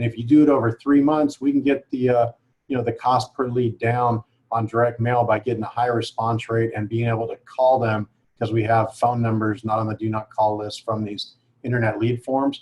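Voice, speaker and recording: At a fairly quick pace, a man talks in a somewhat breathy voice with monotone, flat intonation. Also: medium pitch for a man. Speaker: direct mail marketing expert. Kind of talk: webinar panel discussion. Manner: fast.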